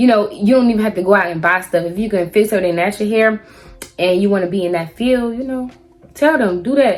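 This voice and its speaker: Speaking with an American accent, a woman with a fairly high pitch and ordinary pitch variation talks at a fairly quick pace over music in the background. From South Carolina. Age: 20s. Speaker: hairstylist. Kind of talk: casual talk to camera.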